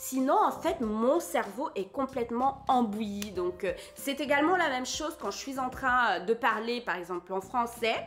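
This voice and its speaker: Music plays in the background as a woman speaks in a high pitch. Her pace is fairly slow and her intonation lively. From Cameroon. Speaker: translator and YouTuber. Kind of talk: casual vlog talk. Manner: relaxed, conversational.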